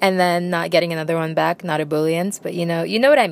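Her voice fairly low in pitch, a woman speaks in an animated tone. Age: young. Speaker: podcast host. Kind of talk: casual chat.

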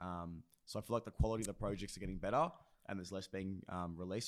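In a very clean recording with a silent background, a man with a fairly low pitch speaks fairly quickly in an Australian accent. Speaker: podcast co-host. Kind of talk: casual chat.

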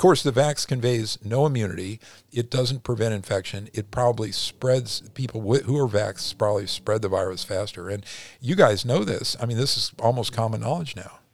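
Here is a plain, everyday voice from a man at medium pitch. He talks at a fairly quick pace with ordinary pitch variation on a very clean recording with a silent background. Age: 60s. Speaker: retired cosmetic surgeon. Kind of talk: interview.

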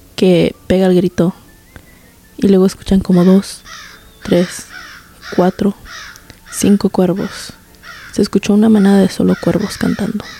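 In a dry, close recording with no echo but noticeable background noise, a woman speaks in a monotone, flat voice at very even loudness, with long, frequent pauses. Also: medium pitch for a woman. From Mexico, Guanajuato. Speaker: podcast host. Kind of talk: storytelling. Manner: code-switching Spanglish.

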